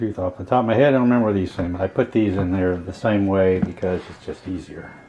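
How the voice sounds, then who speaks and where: Over noticeable background noise, a man with a very deep, low pitch mumbles at a very fast pace with fairly even intonation. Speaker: DIY home repairer. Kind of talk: casual DIY narration while working. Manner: mumbling, rambling. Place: home room. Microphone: phone near.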